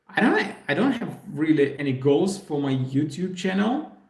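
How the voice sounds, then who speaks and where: A fairly high-pitched man amid audible room echo. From Belarus. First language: Russian. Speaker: puzzle YouTuber. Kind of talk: live stream Q&A. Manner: hesitant, many fillers.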